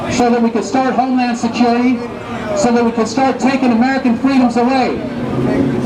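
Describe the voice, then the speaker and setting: Fairly quick, monotone, flat speech over crowd noise in the background. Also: man. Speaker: street preacher. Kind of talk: street preaching to passersby. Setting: outdoors, Hollywood street. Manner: emphatic, persuasive.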